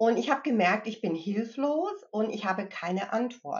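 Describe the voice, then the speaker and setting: A woman speaks at a moderate pace with lively intonation. Her voice is fairly high and somewhat breathy. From US Midwest and Connecticut, moved to Germany at 15. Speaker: mindfulness trainer and grief counselor. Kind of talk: interview conversation.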